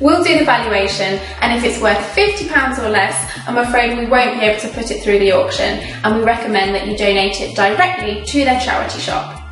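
Clear music plays in the background as a woman talks in a room with audible echo. Her fairly high voice has ordinary pitch variation and moves at a fairly quick pace with hardly any pauses. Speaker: auction house presenter. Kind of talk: charity promotional video presentation. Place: studio.

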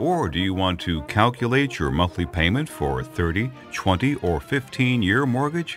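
A man's fairly low voice with very wide pitch swings at a moderate pace, dry with no echo, over clear music in the background. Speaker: voice actor. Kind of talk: phone on-hold message.

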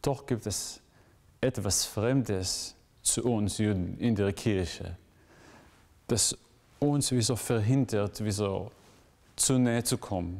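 Against a quiet background, a man speaks at a very slow pace. His pitch is fairly low, with ordinary pitch variation. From Israel. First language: Hebrew (speaking German). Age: 20s. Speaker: graduate student; interviewee. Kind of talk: interview; interview answer. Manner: halting, with frequent fillers. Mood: thoughtful, calm. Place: church.

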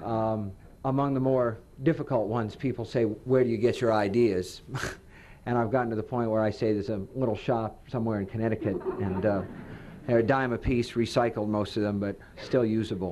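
The voice moves at a fairly quick pace with fairly even intonation, against noticeable background noise. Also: man. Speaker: guest. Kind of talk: public talk with anecdotes. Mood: humorous, relaxed. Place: hall. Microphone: podium.

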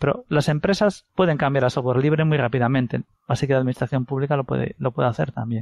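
Talking at a very fast pace with ordinary pitch variation, a man is heard in a dry, close sound with no echo. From Galicia, Spain. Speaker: software company co-founder. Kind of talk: interview. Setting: phone call.

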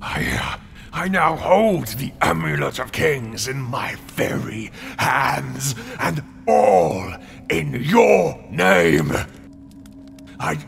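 Very slow delivery with long, frequent pauses and very wide pitch swings over clear background noise. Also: man, medium pitch for a man. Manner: demanding, fanatical, grasping.

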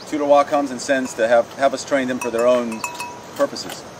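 Noticeable background noise sits under the recording. A man talks fairly quickly with ordinary pitch variation. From Thailand. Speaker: relief team leader. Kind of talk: casual address to camera. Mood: warm, grateful. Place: open country. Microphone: camera far.

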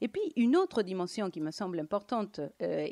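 A woman with a Latin American accent speaks at a moderate pace against a quiet background. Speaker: economist and lecturer; lecturer. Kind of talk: lecture. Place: hall. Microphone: handheld.

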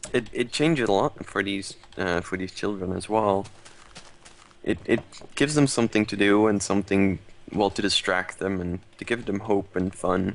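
A man with a fairly low pitch talks at a moderate pace, his pitch varying in an ordinary way. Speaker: charity stream host. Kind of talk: casual live-stream chat. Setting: live stream. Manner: playful. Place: home room.

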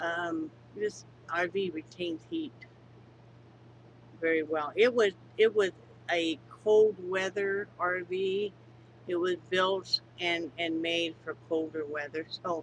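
The speech moves at a very slow pace with long, frequent pauses. Light background noise sits under a dry sound with no echo. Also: woman, fairly low pitch for a woman, ordinary pitch variation. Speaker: crafter vlogger. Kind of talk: casual vlog chat. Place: home room. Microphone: webcam.

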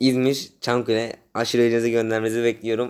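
The man's voice sits at a medium pitch. He rattles through his words at a very fast pace. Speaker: fan channel vlogger. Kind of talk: casual vlog monologue. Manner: animated.

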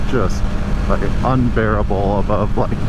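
Loud background noise fills this dry recording with no echo. The speech comes at a fairly slow pace. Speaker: motorcycle rider reviewer. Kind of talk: casual ride review chat. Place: motorbike. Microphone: helmet.

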